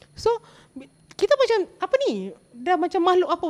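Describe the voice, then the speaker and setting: Her intonation lively, a woman speaks. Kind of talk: casual chat. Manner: code-switching Malay and English.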